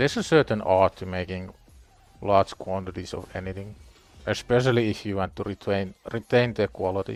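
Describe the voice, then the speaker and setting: Music sits in the background behind a man with fairly even intonation. His loudness swings widely. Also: fairly low pitch for a man, fairly quick pace. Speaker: gaming livestreamer. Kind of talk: casual livestream chat. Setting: live stream with music playing.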